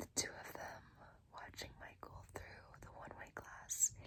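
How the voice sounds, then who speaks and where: A woman is whispering. Her tone is relaxed. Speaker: ASMR creator. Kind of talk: book reading, fiction narration. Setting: lo-fi recording without a proper microphone. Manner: soft, relaxed, whispery.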